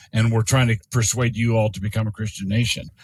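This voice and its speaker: The speaker is a man with an American accent. His medium-pitched voice is somewhat breathy. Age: 60s. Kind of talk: podcast interview. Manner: halting with frequent repetitions.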